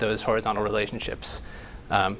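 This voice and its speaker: A man's fairly low-pitched voice with fairly even intonation and audible room echo. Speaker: conference speaker, creative director. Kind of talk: conference talk. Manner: fast.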